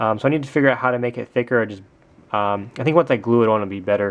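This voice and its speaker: The man's delivery is very fast. His pitch rises and falls in an ordinary way. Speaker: hobby vlogger, toy customizer. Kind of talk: casual video update. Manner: filler-heavy, hesitant (lots of um).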